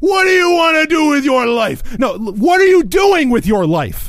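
A man shouts in a put-on character voice with an angry tone at an extremely high pitch. He keeps a moderate pace over light background noise. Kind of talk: confrontational. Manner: yelling, angry.

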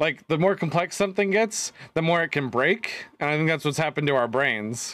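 An ordinary speaking voice, this man's sits at a fairly high pitch and moves at a fairly quick pace, with lively intonation and very even loudness. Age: 30s. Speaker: podcast co-host. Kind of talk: casual chat.

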